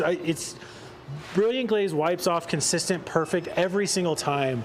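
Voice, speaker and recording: A man's high voice with a Northern Californian accent, moderate in pace with ordinary pitch variation, over noticeable background noise. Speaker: car detailing presenter. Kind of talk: live product demonstration. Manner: casual, conversational.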